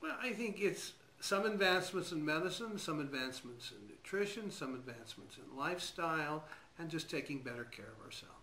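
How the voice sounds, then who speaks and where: Audible room echo frames a man with a fairly high pitch and a bright, sharp tone. He speaks at a fairly quick pace. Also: lively intonation. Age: 60s. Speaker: physician. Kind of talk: interview. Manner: hesitant, with fillers.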